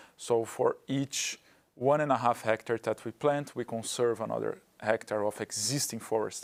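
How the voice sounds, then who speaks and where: With a Portuguese accent, a man talks at a moderate pace and medium pitch. His intonation is fairly even. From Brazil. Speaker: carbon project developer. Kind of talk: webinar panel discussion.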